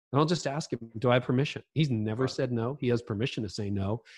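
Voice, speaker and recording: Somewhat breathy and medium in pitch, a man speaks at a very fast pace with a Canadian accent. The background is quiet. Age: 50s. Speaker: leadership author and podcaster. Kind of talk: casual interview chat.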